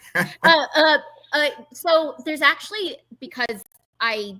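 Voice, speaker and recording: A woman with a Southern California accent, bright and sharp in tone, lively in intonation, at a fairly slow pace. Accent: Valley girl, Californian. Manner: casual, chatty.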